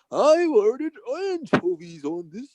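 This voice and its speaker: Putting on a character voice, a man speaks at a moderate pace with an extremely high pitch and very wide pitch swings. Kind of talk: hoity-toity, posh.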